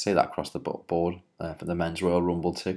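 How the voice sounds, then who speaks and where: The speaker has a Liverpool accent. The recording is very clean, with a silent background. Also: man. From Liverpool, England. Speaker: wrestling writer and commentator. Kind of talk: solo video commentary. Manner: hesitant, many filler words.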